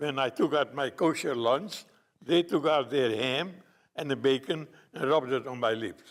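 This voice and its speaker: Here a man speaks with a non-native accent and a fairly high pitch. His pace is moderate and his pitch variation ordinary. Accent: foreign. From Romania. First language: not English. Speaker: Holocaust survivor. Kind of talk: testimony.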